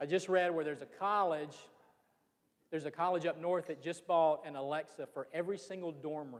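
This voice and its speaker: A man with a Southern accent, high-pitched and animated, at a fairly quick pace. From US South, Georgia (Fitzgerald). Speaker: business association leader, speaker. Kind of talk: public presentation. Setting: room with live audience.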